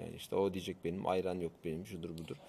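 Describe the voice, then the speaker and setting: Talking at a very fast pace, a man speaks. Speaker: tech show co-host. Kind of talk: casual chat. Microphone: new microphone.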